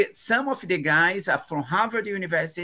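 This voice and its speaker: At a moderate pace, a man projects a raised voice with a high pitch and a bright, sharp tone. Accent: Portuguese. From Brazil. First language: Portuguese. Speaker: epidemiology researcher; webinar panelist. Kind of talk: webinar presentation. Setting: video call. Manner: halting. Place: home room. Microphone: video call.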